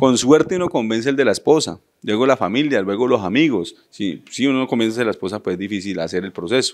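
With lively intonation and hardly any pauses, a man talks at a very fast pace. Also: quiet background. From Colombia, Florencia, Caquetá; Caquetá, Colombia. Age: 30s. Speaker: mayoral candidate; candidate. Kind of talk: interview. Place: studio. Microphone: handheld.

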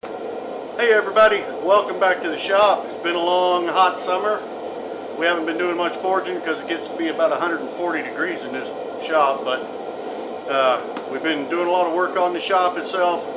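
Loud background noise around a man's moderate-paced speech. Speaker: blacksmith channel host. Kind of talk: casual vlog chat. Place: workshop. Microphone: webcam.

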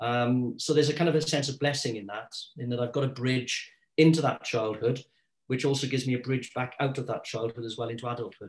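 Against a quiet background, a man with a South Wales accent speaks very fast with fairly even intonation. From South Wales, Caerphilly. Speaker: artist and secondary school teacher; secondary school teacher. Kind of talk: interview conversation about his art. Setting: video recording. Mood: reflective, personal. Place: home room. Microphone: video call.

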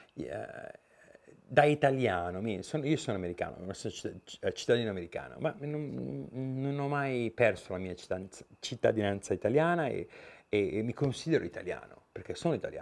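A man speaks at a moderate pace. He takes long, frequent pauses. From Italy. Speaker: YouTuber, Italian emigrant; YouTuber. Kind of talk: vlog monologue. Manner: halting, many fillers and repetitions. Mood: relaxed, opinionated. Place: garage.

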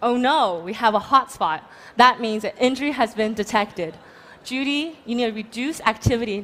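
With ordinary pitch variation, a woman talks at a moderate pace in a fairly high pitch. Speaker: startup founder pitching. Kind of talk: startup pitch and Q&A. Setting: stage with audience. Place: stage. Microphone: headset.

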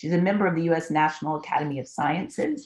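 A woman speaks at a fairly quick pace with a very deep, low pitch. Her intonation is fairly even, and the background is quiet. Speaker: meeting moderator. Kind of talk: event introduction. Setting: video call. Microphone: video call.

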